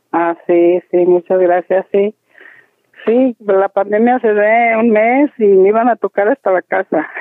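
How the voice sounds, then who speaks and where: Speaking at a very slow pace, a woman keeps a medium pitch, ordinary pitch variation and very even loudness. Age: 60s. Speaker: plant nursery owner. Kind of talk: interview.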